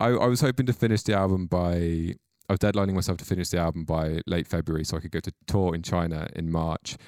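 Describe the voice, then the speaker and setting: In a Welsh accent, a man with a very deep, low pitch speaks very fast with ordinary pitch variation, on a very clean recording with a silent background and a dry, close sound with no echo. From Mid Wales. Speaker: musician. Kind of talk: casual chat.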